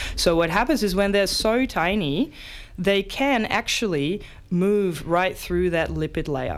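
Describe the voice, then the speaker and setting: A woman with a Dutch accent talks at a fairly slow pace, her medium-pitched voice carrying lively intonation. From Netherlands. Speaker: science presenter. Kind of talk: casual science explainer. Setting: radio studio.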